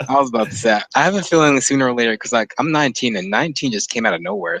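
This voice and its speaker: Talking at a very fast pace, a man has a bright, sharp tone in a dry, close sound with no echo. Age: 20s. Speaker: podcast host. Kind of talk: casual chat.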